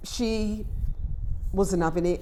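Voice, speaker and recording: A woman speaks with an English accent. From England. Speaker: vlogger. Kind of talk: personal vlog storytelling; motivational talk. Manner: emphatic.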